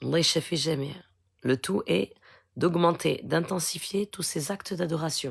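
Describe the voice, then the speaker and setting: Soft-spoken, a woman talks with vocal fry at a fairly low pitch and ordinary pitch variation. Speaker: spiritual healer. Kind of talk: live Q&A stream. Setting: live stream.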